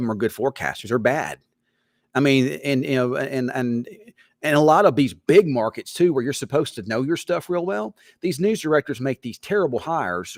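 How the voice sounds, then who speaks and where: In a strong Southern US accent, the speaker talks at a fairly quick pace with lively intonation, in a very clean recording with a silent background and a dry, close sound with no echo. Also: man. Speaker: TV weatherman. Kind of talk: casual chat. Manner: halting, repetitive.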